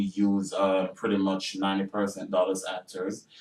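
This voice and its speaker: A man speaks at a moderate pace in a fairly low pitch. Noticeable background noise is present. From Jamaica. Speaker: actor and filmmaker. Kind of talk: radio interview. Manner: hesitant, many fillers.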